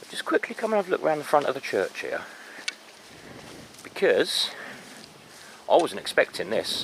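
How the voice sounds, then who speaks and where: A man talks in a southern English accent. Background noise is noticeable. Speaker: walking vlogger, local history. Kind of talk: casual outdoor walking commentary. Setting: outdoors, churchyard. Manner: conversational, some hesitations and repeats.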